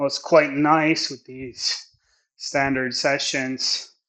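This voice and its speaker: Speaking at a very slow pace, the man has a medium pitch. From Sweden. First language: Swedish. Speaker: movement coach. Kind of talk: vlog monologue while training. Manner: reflective, halting.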